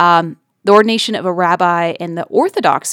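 A woman with a medium pitch and an American accent has a plain, everyday voice, recorded very cleanly with a silent background and a dry, close sound with no echo. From West Virginia. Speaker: public radio podcast host and producer. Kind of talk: casual chat.

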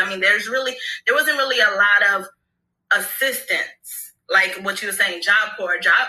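This woman talks at a moderate pace with an American accent and lively intonation. She has a normal speaking voice. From Brooklyn and Florida. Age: 30s. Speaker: hair care entrepreneur. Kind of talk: casual interview.

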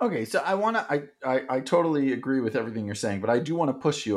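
A man with a plain, everyday voice, lively intonation and a fairly quick pace, on a very clean recording with a silent background. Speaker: podcast host and company founder. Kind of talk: interview conversation.

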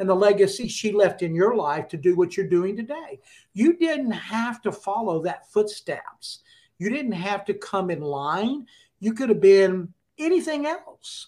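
Speaking fairly slowly, a man with a high pitch lets it swing very widely. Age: 60s. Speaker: entrepreneur and motivational speaker. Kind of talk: casual interview conversation.

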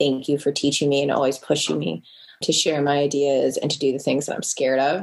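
Her pitch is very deep and low, with vocal fry. This woman talks at a fairly quick pace. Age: 30s. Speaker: art educator and artist. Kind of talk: casual chat.

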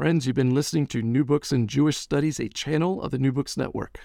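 A man speaks in a normal speaking voice at a fairly quick pace. His pitch is fairly high, with ordinary variation. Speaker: podcast host, professor. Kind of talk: interview. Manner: formal.

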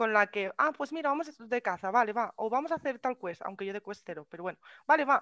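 A woman speaks in a Castilian accent. The sound is dry and close with no echo, and the background is quiet. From Spain. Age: 20s. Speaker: streamer. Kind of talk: casual chat.

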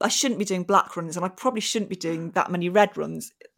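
The recording is very clean, its background silent. A woman talks at a medium pitch. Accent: English. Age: 40s. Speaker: comedic actress. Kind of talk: casual chat.

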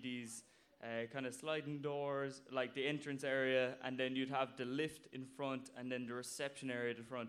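A man with a Cork accent speaks at medium pitch. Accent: Cork Irish. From Ireland, Cork (Blarney). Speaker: audience member telling a story. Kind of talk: story told at a live show. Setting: stage with audience.

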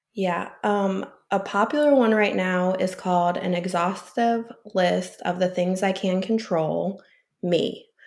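With an American accent, a woman in an unremarkable speaking voice talks slowly-ish, fairly slow in pace, at medium pitch with fairly even intonation. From US Midwest, St. Louis area. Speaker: addiction counselor. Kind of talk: casual interview.

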